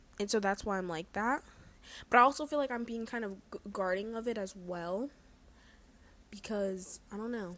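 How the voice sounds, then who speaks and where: A woman's quiet, medium-pitched voice at a moderate pace with fairly even intonation. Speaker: vlogger. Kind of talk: casual chat. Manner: quiet, subdued; halting, hesitant.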